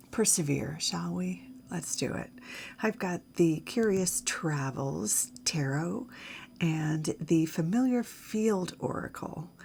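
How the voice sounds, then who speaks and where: A woman talks very slowly, her pitch swinging very widely, while noticeable background noise plays. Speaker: tarot reader. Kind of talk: tarot reading. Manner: hesitant, many fillers.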